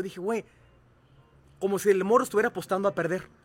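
The man speaks with a high pitch. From Mexico, Cuautla, Morelos. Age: 40s. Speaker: radio host and coach. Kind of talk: casual chat.

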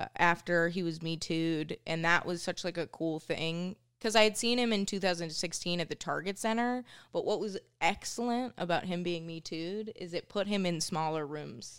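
In an American accent, a woman speaks with an ordinary speaking voice, fairly low in pitch with ordinary pitch variation. Her pace is moderate, and the recording is very clean with a silent background. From Minnesota, US. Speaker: stand-up comedian. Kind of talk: casual chat. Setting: studio.

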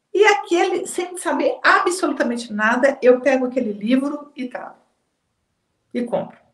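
High-pitched woman's voice with very wide pitch swings, big swings in loudness and a fairly slow pace. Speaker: psychologist and therapy trainer. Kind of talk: casual interview. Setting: live stream.

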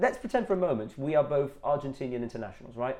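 There is noticeable background noise. A man talks at a very fast pace. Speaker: football podcast co-host. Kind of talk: casual chat.

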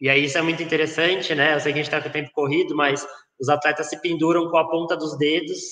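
Monotone and flat, a man with a fairly high pitch talks at a very fast pace. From rural interior of São Paulo state, Brazil. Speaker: sports psychologist. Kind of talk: interview.

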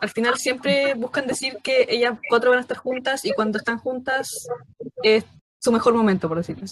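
At a moderate pace, a woman talks in a high voice. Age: 20s. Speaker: fan club leader. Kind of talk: casual chat.

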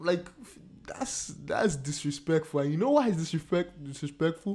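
Pitch varies in an ordinary way at a moderate pace. Behind the voice, music is playing. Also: man. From Nigeria. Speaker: podcast host. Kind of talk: casual chat.

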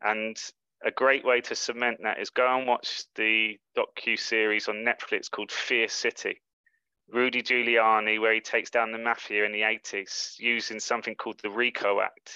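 A bright, sharp voice in a London accent, monotone and flat, at a moderate pace, with a dry, close sound, no echo and a quiet background. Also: man, medium pitch for a man. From England, London. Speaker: life coach. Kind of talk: interview.

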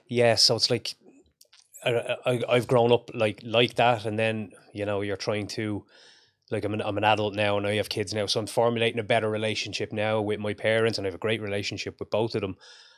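In a very clean recording with a silent background, a man with a fairly low voice speaks at a fairly quick pace in a flat monotone. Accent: Irish. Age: 40s. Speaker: strength coach and combat sports commentator. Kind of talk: casual interview chat.

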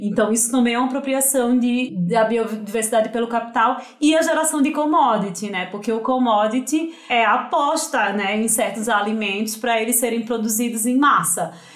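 A woman with a Pernambuco accent and a fairly high pitch, at a moderate pace with hardly any pauses and ordinary pitch variation, plus audible room echo and noticeable background noise. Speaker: nutritionist. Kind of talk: podcast interview.

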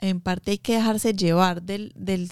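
Very slow and fairly even in intonation, the speech comes through dry and close with no echo on a very clean recording with a silent background. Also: woman. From Colombia, Medellín. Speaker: small business owner, baker. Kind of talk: interview.

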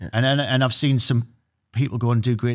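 A man talks at medium pitch and a fairly quick pace. The recording is very clean, with a silent background. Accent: Geordie. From Newcastle, northeast England. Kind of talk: interview.

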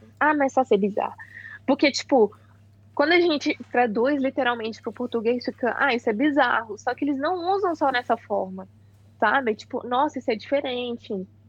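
The pitch moves in an ordinary way at a moderate pace. The sound is dry and close with no echo, over a quiet background. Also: woman, high pitch for a woman. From Brazil. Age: 20s. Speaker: exchange student. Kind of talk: casual chat.

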